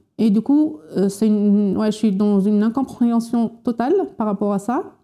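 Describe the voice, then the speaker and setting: Very slowly and with very even loudness, a woman speaks in a dark, mellow tone at a fairly high pitch with fairly even intonation. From Morocco, Berber oasis region. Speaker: unemployed scientist. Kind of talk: interview testimony. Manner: halting.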